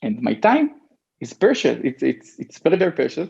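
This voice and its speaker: With an Israeli accent, a man talks in very wide pitch swings. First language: Hebrew. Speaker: e-commerce entrepreneur. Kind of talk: interview. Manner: halting.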